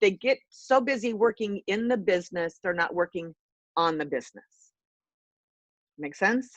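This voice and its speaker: With long, frequent pauses and lively intonation, the voice has a dry, close sound with no echo. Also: woman, medium pitch for a woman. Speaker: business coach and entrepreneur. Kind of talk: talk to an online audience. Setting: video call from a hospital conference room. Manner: fast.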